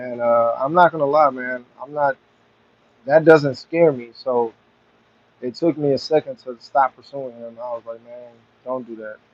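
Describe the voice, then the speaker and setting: The delivery moves at a moderate pace with fairly even intonation. Loudness swings widely, and long, frequent pauses break it up. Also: man, medium pitch for a man. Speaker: livestreamer working on a car. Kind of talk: casual livestream chat. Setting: outdoors in backyard, live stream.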